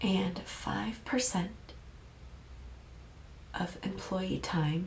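A woman speaks in a soft-spoken way. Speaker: ASMR creator; dance teacher. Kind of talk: ASMR show and tell.

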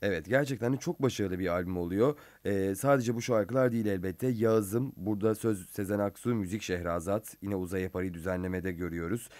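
A man's fairly low voice at a fairly quick pace, hardly any pauses, ordinary pitch variation and a quiet background. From Turkey. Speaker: radio host. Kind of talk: interview. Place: studio. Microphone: studio mic.

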